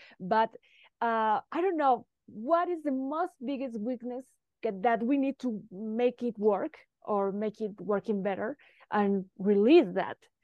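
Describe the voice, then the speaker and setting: A woman with a Spanish accent speaks very slowly at a fairly high pitch with lively intonation. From Mexico. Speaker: football podcast host. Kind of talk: podcast interview.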